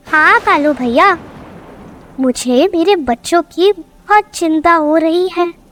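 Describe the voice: A female-sounding cartoonish character voice speaks at an extremely high pitch. The pace is very slow.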